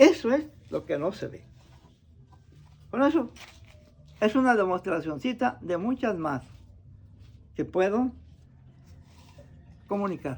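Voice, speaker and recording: High pitch from a man, with very wide pitch swings at a fairly slow pace. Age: 80s+. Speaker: traditional healer. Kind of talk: demonstration talk.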